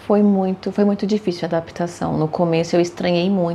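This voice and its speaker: This woman speaks at a fairly quick pace with fairly even intonation in an unremarkable speaking voice. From Brazil, São Paulo (Santo Amaro). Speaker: accountant and interpreter. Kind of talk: interview.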